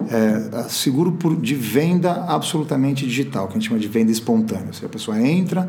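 Over noticeable background noise and audible room echo, a man talks at a fairly quick pace with lively intonation. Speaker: insurance company CEO. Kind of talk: interview. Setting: podcast recording. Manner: hesitant, with filler words.

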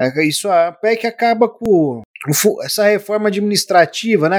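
A man talks at a fairly slow pace with ordinary pitch variation. The sound is dry and close, with no echo. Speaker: political podcast host. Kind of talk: casual political commentary. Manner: animated.

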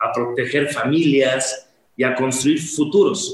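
This man's pitch is fairly high, with ordinary variation. He talks at a fairly slow pace. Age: 50s. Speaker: insurance advisor and coach. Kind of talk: interview. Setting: live online session.

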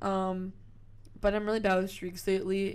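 A woman speaks in a monotone, flat intonation, with audible room echo around her. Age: 20s. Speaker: podcast co-host. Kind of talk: casual chat.

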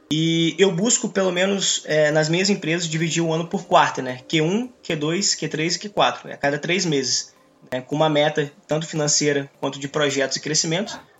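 Background music under a moderate pace, with ordinary pitch variation. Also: man, fairly high pitch for a man. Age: 20s. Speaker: young entrepreneur and economics student. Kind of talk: casual podcast chat.

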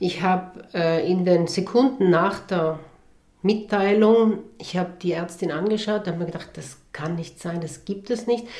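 In a room with audible echo, a woman speaks fairly slowly at a medium pitch with ordinary pitch variation. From South Tyrol, Italy. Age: 40s. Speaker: entrepreneur and beekeeper. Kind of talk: interview.

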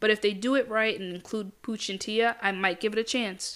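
A woman speaks at a fairly quick pace with fairly even intonation and a bright, sharp tone. The recording is very clean, the background silent. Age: 20s. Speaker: podcast host. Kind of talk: casual solo commentary. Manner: casual, with filler words.

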